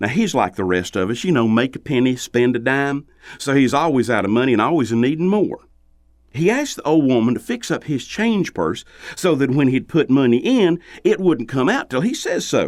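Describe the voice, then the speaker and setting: A man with a Southern US accent, fairly high in pitch, at a moderate pace with very wide pitch swings. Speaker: storyteller. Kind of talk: folktale storytelling.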